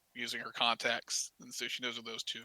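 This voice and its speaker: This man has a Southern US accent and a bright, sharp tone. His voice sounds dry and close, without echo. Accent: southern drawl. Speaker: dungeon master. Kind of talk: tabletop role-playing game session. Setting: live stream. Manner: halting, repeats words.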